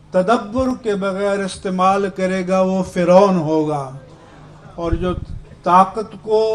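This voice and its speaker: Amid noticeable background noise, a man with a high pitch speaks with fairly even intonation. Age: 70s. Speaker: religious leader. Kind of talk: speech. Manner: formal.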